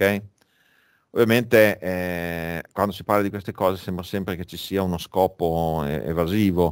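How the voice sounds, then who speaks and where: A man with a very deep, low pitch speaks at a moderate pace with fairly even intonation and big swings in loudness, on a very clean recording with a silent background. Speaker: finance lecturer. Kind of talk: lecture. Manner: halting, with many fillers.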